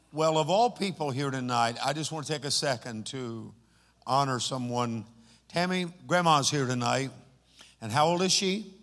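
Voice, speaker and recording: With audible room echo, a man with a fairly high pitch speaks at a moderate pace and ordinary pitch variation. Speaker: pastor. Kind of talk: church service address. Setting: church. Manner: animated.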